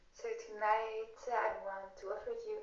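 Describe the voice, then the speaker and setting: The speech moves at a fairly slow pace, with audible room echo. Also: woman. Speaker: yoga teacher. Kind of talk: tutorial. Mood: calm, soothing guidance.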